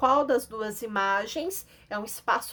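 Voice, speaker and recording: A woman's ordinary speaking voice, fairly high in pitch, with ordinary pitch variation at a fairly slow pace. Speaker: schoolteacher. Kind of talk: lesson for children.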